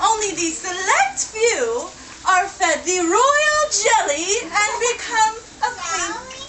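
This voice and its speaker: A put-on character voice, female-sounding and extremely high, at a very slow pace over clear background noise. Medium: stage play. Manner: regal, haughty.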